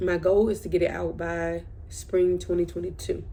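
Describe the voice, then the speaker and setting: A woman whispering at a fairly slow pace, with audible room echo. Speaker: vlogger. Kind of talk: casual chat. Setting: bedroom at night.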